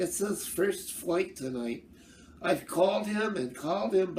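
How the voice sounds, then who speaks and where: In a put-on character voice at a middle pitch, the speaker goes at a fairly slow pace with clear background noise behind. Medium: read story. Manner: hesitant, stammering.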